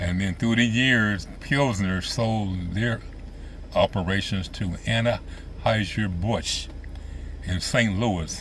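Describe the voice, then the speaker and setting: A man speaks at a very slow pace in an American accent, with audible room echo. His pitch is fairly low for a man, with ordinary pitch variation. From US Midwest, central Illinois. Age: 70s. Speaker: vlogger reminiscing. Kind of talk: casual monologue. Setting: outdoors by lake boat docks.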